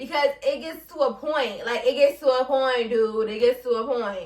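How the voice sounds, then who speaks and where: The speaker has an animated tone and talks in a New York accent. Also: woman. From Brooklyn, New York. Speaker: podcast host. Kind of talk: casual podcast monologue.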